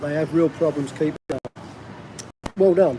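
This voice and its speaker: A man's voice in a South East London accent, with ordinary pitch variation and noticeable background noise. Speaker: vlogger living abroad. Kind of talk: live stream chat. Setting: restaurant.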